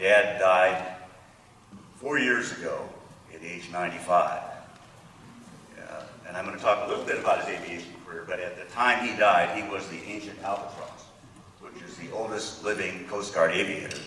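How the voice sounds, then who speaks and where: Noticeable background noise and audible room echo surround a man who takes long, frequent pauses and whose loudness swings widely. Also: moderate pace. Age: 70s. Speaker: honoree's son. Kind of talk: ceremony remarks. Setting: podium at ceremony.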